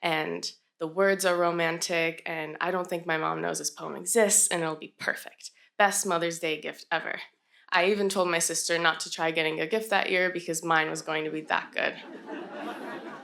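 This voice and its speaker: A woman speaks at a fairly low pitch and a moderate pace, with monotone, flat intonation. Her tone is bright and sharp, with vocal fry. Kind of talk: live storytelling performance. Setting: live stage event. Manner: personal, conversational storytelling.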